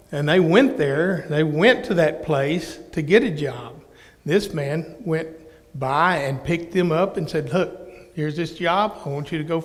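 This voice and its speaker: A man with an American accent speaks at a fairly slow pace, with ordinary pitch variation and audible room echo. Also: fairly high pitch for a man. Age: 60s. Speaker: minister. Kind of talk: interactive Bible teaching. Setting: church.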